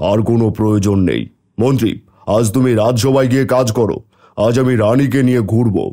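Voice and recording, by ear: In a cartoonish character voice, a man talks at a moderate pace and a medium pitch.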